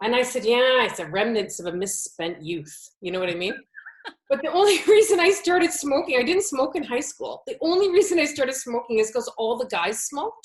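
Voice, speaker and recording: At a fairly quick pace, a woman with a Canadian accent speaks in a high voice with very wide pitch swings. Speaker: automotive educator, business owner. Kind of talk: interview. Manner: animated.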